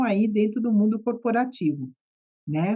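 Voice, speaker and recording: Her pitch fairly high, a woman speaks at a fairly slow pace with lively intonation. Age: 60s. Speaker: psychotherapist. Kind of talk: podcast interview.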